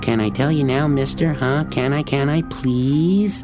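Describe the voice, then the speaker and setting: Over loud music in the background, a put-on character voice at low-to-middle pitch goes along at a moderate pace. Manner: pleading, playful, exaggerated.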